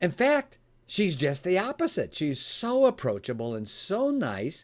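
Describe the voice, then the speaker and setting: A man with an American accent speaks fairly slowly in a high voice. His tone is animated, with very wide pitch swings. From US Midwest, Chicago area. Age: 60s. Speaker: author and speaker on giving. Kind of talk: interview. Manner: animated storytelling.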